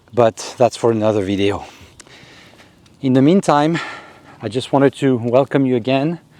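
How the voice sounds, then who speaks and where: A man with a French accent talks at a fairly slow pace, using medium pitch and ordinary pitch variation. The recording has a dry, close sound with no echo. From Africa. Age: 50s. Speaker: YouTuber. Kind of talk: casual vlog monologue. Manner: hesitant with fillers.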